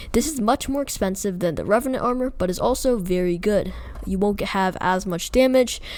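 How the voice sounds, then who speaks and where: With noticeable background noise around her, a woman of medium pitch talks at a fairly quick pace with lively intonation. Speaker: gaming YouTuber. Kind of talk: tutorial. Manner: hesitant, many fillers.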